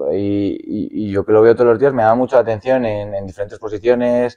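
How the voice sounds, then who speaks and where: Over a quiet background, a man talks at a fairly slow pace in a dark, mellow tone. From Spain, Madrid (Fuenlabrada); Spain. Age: 20s. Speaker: professional footballer; guest. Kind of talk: casual interview. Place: studio.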